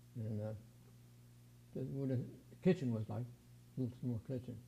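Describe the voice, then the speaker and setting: A man with an American accent speaks in a dark, mellow tone that is somewhat breathy. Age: 80s+. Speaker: aircraft restoration volunteer. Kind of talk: interview.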